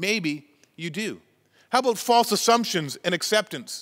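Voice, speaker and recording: The speech runs at a fairly quick pace over a quiet background. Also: man. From Canada, Chilliwack, British Columbia. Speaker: pastor. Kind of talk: sermon. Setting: church. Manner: halting. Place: church.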